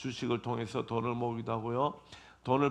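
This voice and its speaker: This man's voice carries vocal fry. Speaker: pastor. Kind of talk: sermon. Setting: church.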